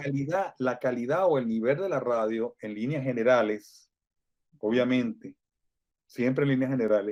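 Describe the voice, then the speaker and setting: This man has an unremarkable speaking voice at a medium pitch. He keeps a moderate pace, and his pitch varies in an ordinary way. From Venezuela. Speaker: Venezuelan radio broadcaster, now living in Mexico. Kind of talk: interview answer, recalling his radio career.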